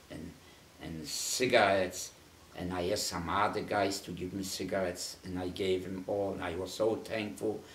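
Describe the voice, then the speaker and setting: A man speaks at a moderate pace in a very deep, low, somewhat breathy voice with fairly even intonation. Light background noise and audible room echo surround him. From Poland. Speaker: Holocaust survivor. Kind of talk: oral history interview; interview answer. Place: home room. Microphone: camera far.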